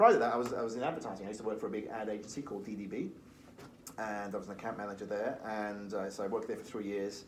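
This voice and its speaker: A man in a Liverpool accent at a very fast pace, with ordinary pitch variation and audible room echo. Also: fairly low pitch for a man. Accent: Liverpool (Scouse) English. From Liverpool, England. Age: 40s. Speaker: recruitment firm founder. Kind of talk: podcast interview.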